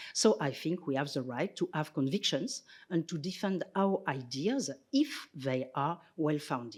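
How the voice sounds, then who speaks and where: Speaking at a fairly slow pace, a woman with a French accent has a very deep, low pitch and lively intonation. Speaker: sociologist and philosopher, visiting scholar. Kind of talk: lecture. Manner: formal.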